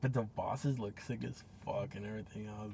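An unremarkable speaking voice from a man, fairly low in pitch with ordinary pitch variation and a fairly quick pace. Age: 20s. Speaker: podcast co-host. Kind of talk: casual chat.

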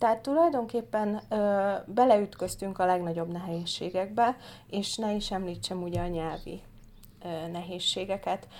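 At a fairly slow pace, a woman speaks in an unremarkable speaking voice at a medium pitch with ordinary pitch variation, captured in a very clean recording with a silent background. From Hungary. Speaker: political candidate. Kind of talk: casual interview.

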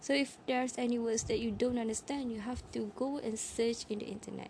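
With a non-native accent, a woman speaks in a somewhat breathy voice that is fairly high in pitch, with a dark, mellow tone. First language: not English. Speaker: English learner podcaster. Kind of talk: solo talk monologue. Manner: halting, many fillers.

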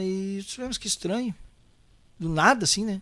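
Talking at a fairly quick pace, a man speaks with a southern Brazilian accent. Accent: gaúcho Brazilian Portuguese. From Porto Alegre, Rio Grande do Sul, Brazil. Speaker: singer and songwriter. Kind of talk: casual interview chat.

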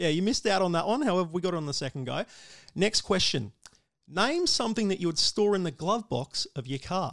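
On a very clean recording with a silent background, a high-pitched man speaks fairly quickly with lively intonation in an Australian accent. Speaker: motorsport radio host. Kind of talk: casual interview; quiz game hosting.

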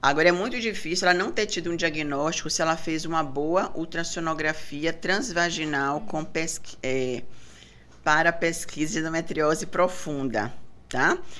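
Audible room echo surrounds a woman who speaks at a moderate pace with a fairly low pitch and ordinary pitch variation. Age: 50s. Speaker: gynecologist and breast specialist. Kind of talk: casual interview.

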